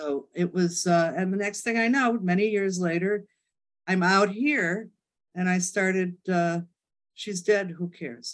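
A woman with an American accent has an ordinary speaking voice at a medium pitch. She talks at a fairly slow pace with ordinary pitch variation. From Chicago. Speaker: mystery author. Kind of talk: casual interview.

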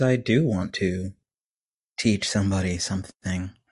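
A somewhat breathy man with an American accent. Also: quiet background. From US Texas. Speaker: indie musician. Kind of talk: casual interview chat. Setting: remote recording.

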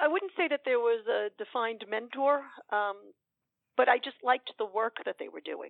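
This speaker has an American accent and talks at a moderate pace. The loudness swings widely, and the intonation is lively. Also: woman, high pitch for a woman. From New York City, Queens. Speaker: hospital executive director. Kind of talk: interview. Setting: studio. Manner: hesitant, many fillers.

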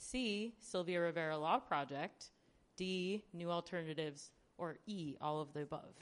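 Her pitch fairly low, a woman speaks at a moderate pace with ordinary pitch variation. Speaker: actor hosting trivia. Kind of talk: trivia game hosting. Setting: stage with audience. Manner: playful, animated.

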